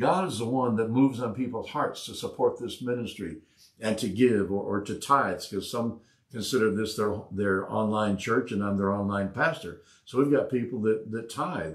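Somewhat breathy, a man speaks at a moderate pace with ordinary pitch variation. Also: quiet background. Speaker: pastor, online Bible study host. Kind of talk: preaching, conversational sermon. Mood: calm, earnest. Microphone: lapel.

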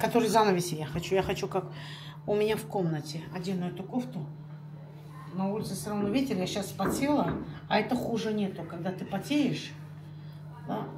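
Loud background noise sits under a woman talking at a fairly quick pace with ordinary pitch variation. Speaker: home vlogger. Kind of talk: casual vlog chat. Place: home room. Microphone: phone near.

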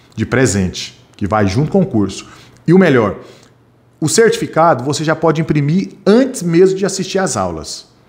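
A man's fairly high, animated voice at a moderate pace, with very wide pitch swings and vocal fry. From Brazil, Goiás. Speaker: security training instructor. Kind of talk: live online class. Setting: live stream studio. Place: home room. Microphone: studio mic.

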